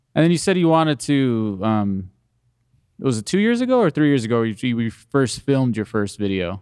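A man with a plain, everyday voice and medium pitch talks at a fairly quick pace with lively intonation over a quiet background. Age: 30s. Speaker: podcast host. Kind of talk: casual chat.

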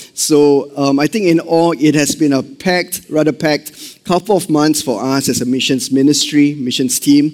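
A man with a Singaporean accent, fairly high pitch, ordinary pitch variation, very even loudness and moderate pace. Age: 40s. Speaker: missions pastor. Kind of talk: sermon. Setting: church service with congregation. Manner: animated.

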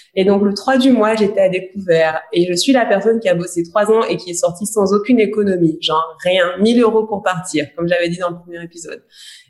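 Over noticeable background noise, a woman talks with hardly any pauses, her loudness swinging widely while her pitch varies in an ordinary way. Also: medium pitch for a woman, fairly quick pace. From Guadeloupe. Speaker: podcast co-host, coach. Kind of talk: casual chat.

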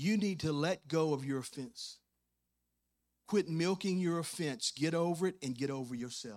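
Heard on a very clean recording with a silent background, the speaker uses a Louisiana accent at a moderate pace with ordinary pitch variation. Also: man, fairly high pitch for a man. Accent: US Southern (Louisiana). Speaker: pastor. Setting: church service with congregation. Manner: conversational asides and humor, coaxing amens from the crowd; fervent, rhythmic preaching cadence with rising emphasis and punchy repeated phrases.

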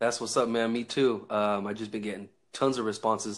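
On a very clean recording with a silent background, someone with an American accent speaks at a moderate pace in a monotone, flat intonation. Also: man. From Northern California. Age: 20s. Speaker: online talk show host. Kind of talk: casual chat.

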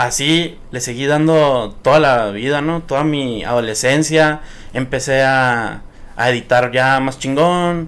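The man's voice is a plain, everyday voice at a medium pitch. His pitch varies in an ordinary way. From Sonora, Mexico (Nogales and Hermosillo). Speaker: social media content creator. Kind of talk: casual chat. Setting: studio.

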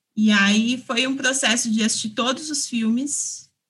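A woman's bright, sharp tone carries a fairly high pitch, fairly even intonation and a fairly slow pace. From São Paulo, East Zone. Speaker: film director. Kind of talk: interview.

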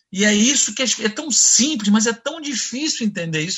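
This man has a high voice with lively intonation and a Carioca accent. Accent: Carioca (Rio). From Brazil, Nova Friburgo (Rio de Janeiro state). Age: 60s. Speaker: sales executive. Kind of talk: interview.

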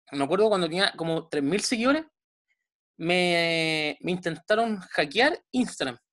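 Speaking fairly slowly with a Chilean accent, a woman uses lively intonation in a fairly low voice. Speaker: podcast host, sports science page creator. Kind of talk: casual interview chat.

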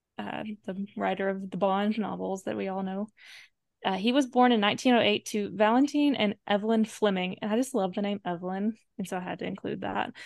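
A woman speaks at a moderate pace and medium pitch with ordinary pitch variation. It is an unremarkable speaking voice. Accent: American. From US South. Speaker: podcast co-host. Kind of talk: casual chat.

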